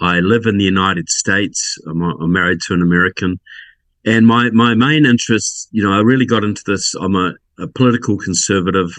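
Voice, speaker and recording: Against a quiet background, a man with a New Zealand accent talks at a fairly quick pace with a fairly low pitch and ordinary pitch variation. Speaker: political researcher and author. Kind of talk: podcast interview.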